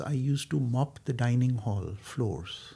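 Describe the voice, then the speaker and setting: This man has a somewhat breathy voice of medium pitch. His pitch varies in an ordinary way. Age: 60s. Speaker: architect. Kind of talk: interview. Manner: hesitant, with many fillers.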